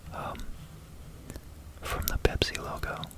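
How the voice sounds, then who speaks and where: Whispering moves along at a moderate pace. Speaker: ASMR creator explaining math. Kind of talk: ASMR whispered math talk, casual explanation to camera. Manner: whispered, soft-spoken.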